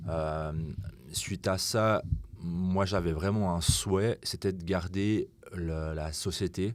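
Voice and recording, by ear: The speech moves slowly. Its intonation stays fairly even. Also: man, low pitch for a man.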